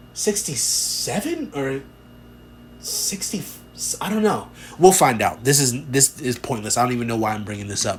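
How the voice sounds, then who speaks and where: With music in the background, the speaker moves at a moderate pace, pitch swinging very widely, with long, frequent pauses. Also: man, medium pitch for a man. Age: 30s. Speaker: podcast host. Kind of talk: casual monologue. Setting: home room with door to backyard. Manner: rambling, filler-heavy.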